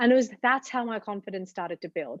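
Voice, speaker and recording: Here a woman is speaking. She talks in an Australian accent. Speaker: TV journalist. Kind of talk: interview.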